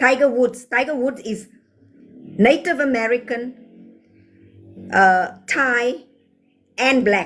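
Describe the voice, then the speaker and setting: A woman speaks in a high voice. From South Africa. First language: Afrikaans. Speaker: livestreamer. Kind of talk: livestream chat answering comments. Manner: animated.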